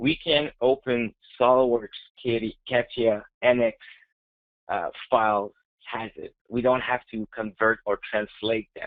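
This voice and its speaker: Over a quiet background, a man with a French-Canadian accent talks with fairly even intonation, big swings in loudness and long, frequent pauses. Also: medium pitch for a man, fairly slow pace. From Quebec, Montreal. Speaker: software technical specialist; presenter. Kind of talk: webinar presentation. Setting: online webinar. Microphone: webcam.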